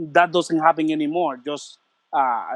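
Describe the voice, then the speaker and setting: Fairly high in pitch, a man talks at a moderate pace with ordinary pitch variation. The sound is dry and close with no echo, over a quiet background. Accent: Puerto Rican. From Puerto Rico. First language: Spanish. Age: 40s. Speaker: martial arts instructor. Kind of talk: interview. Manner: halting.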